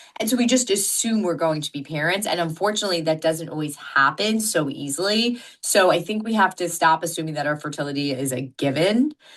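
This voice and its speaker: A woman's fairly low voice at a fairly quick pace with hardly any pauses and lively intonation, over noticeable background noise. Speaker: fertility doctor. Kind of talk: interview. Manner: loud.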